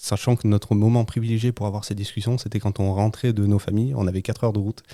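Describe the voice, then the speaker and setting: On a very clean recording with a silent background, a man speaks in a fairly low, dark, mellow voice with fairly even intonation. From Hautes-Alpes, southeastern France. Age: 30s. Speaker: engineer and site manager, new father. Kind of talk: podcast interview. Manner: halting.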